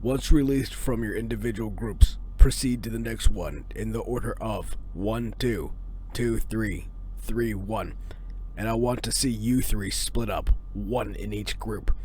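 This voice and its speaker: A man puts on a character voice at a moderate pace while clear background noise is heard. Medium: solo performance. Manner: curt, commanding.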